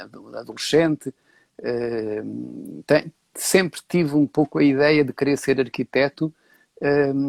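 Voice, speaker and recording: A man with a fairly high pitch speaks at a fairly slow pace, with long, frequent pauses and ordinary pitch variation. His loudness swings a lot, and the sound is dry and close with no echo. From Portugal, Beira (Castelo Branco). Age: 60s. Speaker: set designer and architecture professor. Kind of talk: interview. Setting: live stream. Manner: hesitant, many filler sounds.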